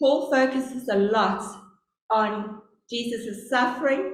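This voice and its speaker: There is audible room echo around this woman's voice. She has a South African accent and a fairly high pitch. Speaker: lay preacher. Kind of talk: sermon. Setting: church service. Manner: deliberately slow.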